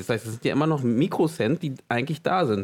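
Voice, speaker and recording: Spoken at a very fast pace with lively intonation, the voice comes through on a very clean recording against a silent background. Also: man. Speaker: podcast co-host. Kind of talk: casual chat.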